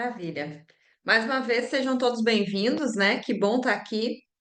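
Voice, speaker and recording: A woman speaks with a Rio Grande do Sul accent. Her pitch is fairly high, with ordinary variation. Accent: gaúcho accent from Rio Grande do Sul. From southern Brazil, Rio Grande do Sul. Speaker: sales trainer and business mentor. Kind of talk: online class. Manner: conversational, frequent fillers.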